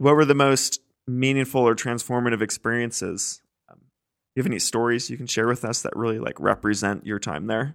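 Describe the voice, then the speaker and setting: With an American accent and an unremarkable speaking voice, a man talks at a fairly quick pace and a medium pitch, using ordinary pitch variation. His loudness swings widely, and the recording is very clean with a silent background. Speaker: podcast host. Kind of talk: interview.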